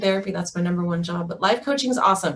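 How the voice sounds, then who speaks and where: A woman speaks at a medium pitch. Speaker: mental health therapist. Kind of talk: webinar presentation. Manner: fast.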